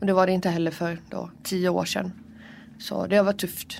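The woman's medium-pitched voice stays in a monotone, flat intonation. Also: very clean recording, silent background. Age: 20s. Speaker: prison inmate. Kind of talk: interview testimony. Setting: prison visiting room.

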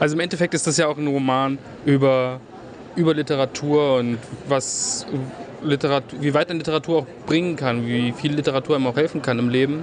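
A man's fairly high voice at a fairly quick pace, fairly even in intonation, with long, frequent pauses and noticeable background noise. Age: 20s. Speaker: radio host. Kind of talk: interview.

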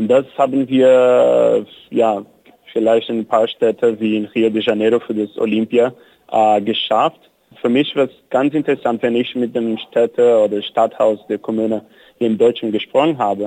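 Speaking with a Portuguese accent, a man uses a dark, mellow tone and monotone, flat intonation at a moderate pace, recorded with a dry, close sound and no echo. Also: medium pitch for a man. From Brazil, São Paulo. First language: Portuguese (speaking German). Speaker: cycling activist. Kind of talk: interview. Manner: halting.

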